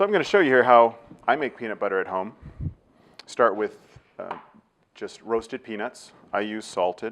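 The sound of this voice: A man with a Californian accent has a low pitch, a fairly bright tone and vocal fry. He keeps a moderate pace with ordinary pitch variation. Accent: Californian American.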